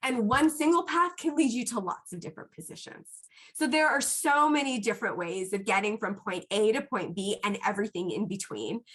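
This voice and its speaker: A loud, animated woman at a fairly high pitch and fairly quick pace, with very wide pitch swings. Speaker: psychiatric pharmacist. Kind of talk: Q&A talk to students.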